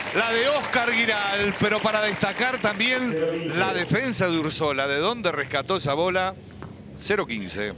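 Over noticeable background noise, a man speaks in a high, raised and projected voice at a fairly slow pace, with lively intonation and very even loudness. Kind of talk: live sports commentary. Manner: bursts of exclamations at spectacular points.

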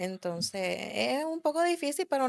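A woman speaks with a Puerto Rican accent against a quiet background. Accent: Puerto Rican accent, kept. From Puerto Rico, raised in the US from early childhood. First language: English (speaking Spanish). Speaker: car enthusiast and drag racer; podcast guest. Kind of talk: casual interview chat; interview answer. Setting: studio. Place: studio. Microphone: studio mic.

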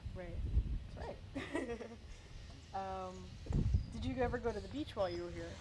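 With loud background noise behind her, a woman speaks at a moderate pace, broken by long, frequent pauses. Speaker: museum curator, interviewer. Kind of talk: oral history interviewer asking questions. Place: street. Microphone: lapel.

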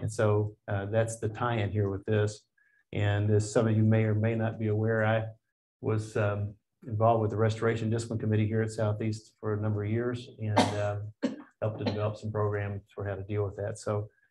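His tone dark and mellow and somewhat breathy, a man speaks at a fairly low pitch and fairly quick pace in a monotone, flat intonation. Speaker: class teacher. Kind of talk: lecture. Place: classroom.

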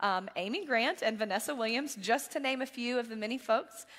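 Over a quiet background, a woman talks with a fairly high pitch, a bright, sharp tone and ordinary pitch variation. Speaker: church staff giving announcements. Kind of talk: church announcements. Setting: church service. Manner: fast. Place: church. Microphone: headset.

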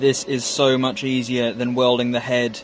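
A man with an English accent, light background noise behind him. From England. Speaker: metalwork YouTuber. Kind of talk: workshop vlog narration. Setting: outdoor workshop. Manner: casual, hesitant with fillers. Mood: light, self-deprecating. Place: garden. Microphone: phone near.

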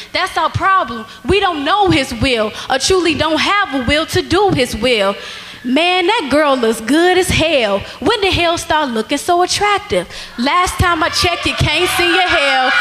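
Pitched extremely high, a woman speaks fairly slowly with very wide pitch swings. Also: very even loudness. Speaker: spoken word poet. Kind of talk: spoken word poetry performed at a church rally. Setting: church stage with audience. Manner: animated; forceful, rhythmic, rhyming delivery. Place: church. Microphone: handheld.

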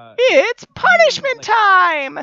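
The speaker puts on a character voice at an extremely high pitch. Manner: gleeful, menacing.

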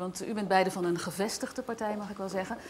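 Light background noise sits behind a woman talking at a fairly quick pace with ordinary pitch variation. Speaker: TV presenter. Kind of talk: TV debate show presenting. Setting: studio in a museum. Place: studio. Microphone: lapel.

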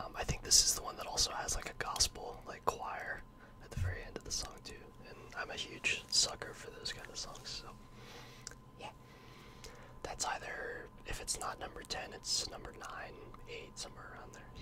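Whispering at a moderate pace, a man leaves long, frequent pauses. His loudness swings widely. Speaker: ASMR creator. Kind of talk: casual ASMR talk to camera. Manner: whispered.

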